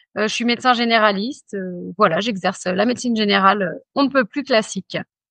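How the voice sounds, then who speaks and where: A woman's bright, sharp voice at a fairly high pitch, fairly quick in pace, with ordinary pitch variation and a dry, close sound with no echo. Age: 40s. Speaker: general practitioner. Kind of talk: interview. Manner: hesitant, many fillers.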